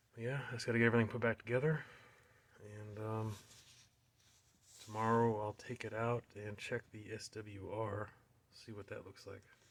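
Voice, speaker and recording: This man mumbles at a moderate pace with long, frequent pauses and big swings in loudness. His fairly low voice stays monotone and flat. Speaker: car hobbyist. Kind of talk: tutorial. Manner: mumbling; hesitant, many fillers. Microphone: poor audio quality.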